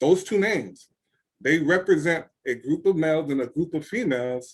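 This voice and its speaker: Here a man's intonation is lively. His pitch sits fairly high. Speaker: author coach. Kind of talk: webinar talk. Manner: fast.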